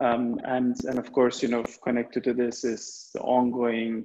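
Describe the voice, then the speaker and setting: Against a quiet background, a man talks at a moderate pace. His intonation is monotone and flat. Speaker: webinar moderator. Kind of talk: webinar moderation. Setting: video call. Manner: halting. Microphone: video call.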